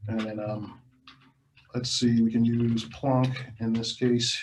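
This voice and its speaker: A man talks at a fairly slow pace with medium pitch and ordinary pitch variation. His voice is somewhat breathy, with audible room echo. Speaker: electronic musician teaching a workshop. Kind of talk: workshop demonstration.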